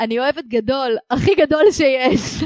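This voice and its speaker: A woman's high-pitched voice with lively intonation, in a dry, close sound with no echo. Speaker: podcast host. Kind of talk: casual chat. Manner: exaggerated clear diction.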